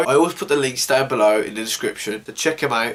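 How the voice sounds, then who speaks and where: A man speaks very quickly. Behind his words, background noise is noticeable. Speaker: news show host. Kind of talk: casual news commentary. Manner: informal, animated.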